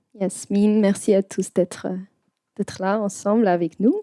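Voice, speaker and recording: A woman with a medium pitch and a dark, mellow tone speaks at a very slow pace in a dry, close sound with no echo. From South Africa. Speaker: event host. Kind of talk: panel discussion.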